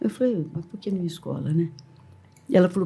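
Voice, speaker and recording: A woman speaks in a fairly low pitch, her dark, mellow tone somewhat breathy. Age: 70s. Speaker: teacher and school owner. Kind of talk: podcast interview. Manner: animated storytelling.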